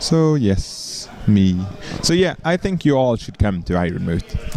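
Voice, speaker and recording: A man speaks with a Swedish accent at a medium pitch and a fairly slow pace. His pitch swings very widely, and music plays in the background. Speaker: game commentator. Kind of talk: live commentary; casual chat.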